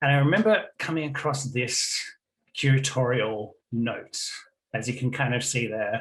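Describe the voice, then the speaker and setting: A man speaks with a slight Australian accent and ordinary pitch variation, leaving long, frequent pauses. The room echo is audible. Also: medium pitch for a man, moderate pace. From Australia, Melbourne. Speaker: game studies academic. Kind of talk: conference presentation. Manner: hesitant, many fillers.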